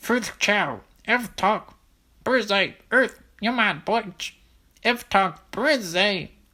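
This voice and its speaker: In a put-on character voice, the speaker talks at a very slow pace with a fairly high pitch. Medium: read story. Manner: nonstop chattering.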